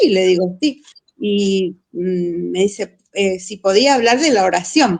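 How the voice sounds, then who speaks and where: Very slow female speech, medium in pitch with ordinary pitch variation. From Buenos Aires, Argentina. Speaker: missionary teacher. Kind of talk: casual chat.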